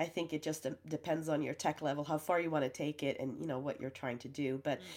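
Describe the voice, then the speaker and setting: A woman speaks in a very deep, low voice with fairly even intonation, recorded very cleanly against a silent background. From Sweden. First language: Swedish. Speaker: professional photo organizer. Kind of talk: casual interview.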